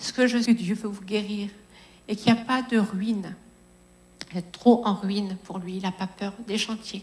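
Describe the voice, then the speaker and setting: Her intonation is monotone and flat as a woman speaks at a medium pitch in a somewhat breathy voice. She goes at a fairly slow pace with long, frequent pauses and big swings in loudness. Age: 50s. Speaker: preacher. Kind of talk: sermon.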